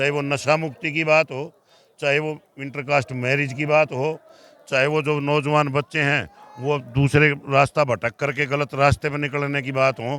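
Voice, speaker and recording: Here a man speaks at a fairly high pitch. His intonation is monotone and flat. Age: 60s. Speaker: khap leader. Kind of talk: interview. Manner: formal.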